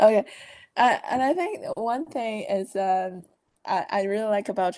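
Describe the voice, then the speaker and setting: A woman talks with a Chinese accent. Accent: Chinese-accented English, non-native. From China. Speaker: management consultant. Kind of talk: podcast interview. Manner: halting, many fillers.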